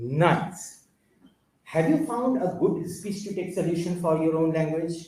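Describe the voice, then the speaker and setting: This man has a high pitch and a dark, mellow tone. He talks fairly slowly in an Indian accent. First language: Bengali. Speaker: conference speaker. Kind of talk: technical talk. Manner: halting.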